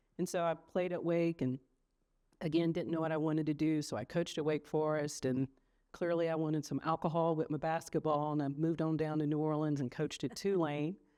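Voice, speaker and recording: Against a quiet background, a dark, mellow voice with a North Carolina accent moves at a fairly quick pace, flat and monotone, with very even loudness. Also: woman, very deep, low pitch for a woman. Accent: Southern US (North Carolina). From US South, High Point, North Carolina. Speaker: trial lawyer. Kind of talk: interview.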